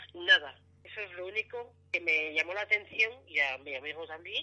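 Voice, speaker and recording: A woman at a moderate pace. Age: 60s. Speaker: UFO sighting witness. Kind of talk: phone interview, testimony.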